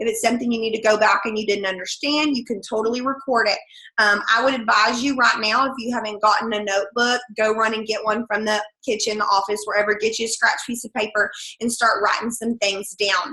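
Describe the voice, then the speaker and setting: A fairly high-pitched woman's voice with an American accent, fairly even intonation, and a fairly quick pace, over noticeable background noise. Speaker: direct sales team leader and third grade teacher. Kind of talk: sales training call. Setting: conference call with screen share. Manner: fast.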